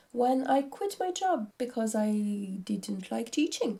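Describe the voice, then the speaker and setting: Speaking with a French accent, a woman has a dark, mellow tone and a fairly high pitch. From France. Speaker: craft vlogger. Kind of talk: casual vlog talk. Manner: hesitant.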